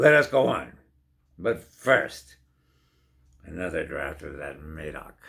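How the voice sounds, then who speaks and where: Using a put-on character voice, a man speaks at a very deep, low pitch and a fairly slow pace, leaving long, frequent pauses. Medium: read story. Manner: proud, dismissive.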